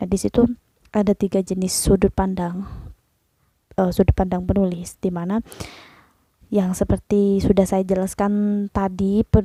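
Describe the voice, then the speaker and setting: Music plays in the background as a woman speaks at a moderate pace. The sound is dry and close, without echo. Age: 20s. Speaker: vlogger. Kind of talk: casual explainer monologue. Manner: hesitant, many fillers.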